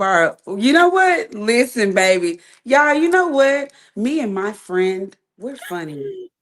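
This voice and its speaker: A woman speaks loudly in an animated tone at a fairly slow pace. Her fairly high pitch swings very widely. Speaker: boxing podcast co-host. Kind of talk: casual chat.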